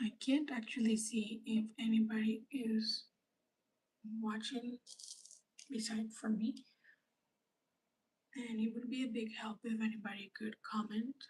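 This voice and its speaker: A woman's fairly high, somewhat breathy voice, fairly slow and monotone, with long, frequent pauses. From grew up outside Canada, near the ocean. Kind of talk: livestream tutorial. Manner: soft-spoken.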